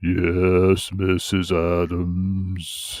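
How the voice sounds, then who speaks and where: A man puts on a character voice, pitched very deep and low. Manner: imitated character voice.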